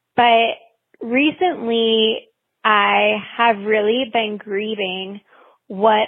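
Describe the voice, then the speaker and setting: The woman's pitch is fairly high, and her intonation stays monotone and flat. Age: 30s. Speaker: listener leaving a voicemail. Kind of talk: voicemail testimony. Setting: phone voicemail.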